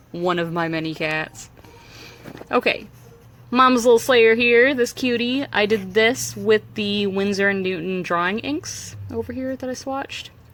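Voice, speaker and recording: The pitch swings very widely. Noticeable background noise can be heard. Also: woman. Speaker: art vlogger. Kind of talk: casual chat. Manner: fast.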